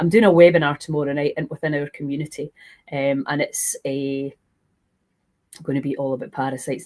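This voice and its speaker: A woman with a Scottish accent speaks at a very deep, low pitch, her intonation fairly even. The sound is dry and close with no echo, in a very clean recording over a silent background. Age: 60s. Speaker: health and fasting coach. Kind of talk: live stream Q&A. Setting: live stream.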